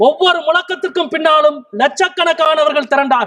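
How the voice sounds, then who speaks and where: With ordinary pitch variation, a man talks at an extremely high pitch. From Madurai, Tamil Nadu, India. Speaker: Member of Parliament. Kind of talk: parliamentary speech, political debate. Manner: fiery, forceful, rhetorical.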